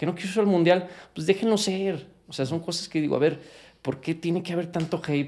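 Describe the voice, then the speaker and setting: A man with a dark, mellow tone speaks at a fairly quick pace. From Mexico. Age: 30s. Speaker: professional footballer; interview guest. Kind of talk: interview. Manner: animated. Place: home room. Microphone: studio mic.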